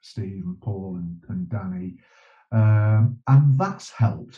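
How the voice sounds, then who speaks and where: At a very slow pace, a man speaks with a dark, mellow tone, medium pitch and some breathiness. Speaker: journalist and bereaved father, campaigner. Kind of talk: interview conversation.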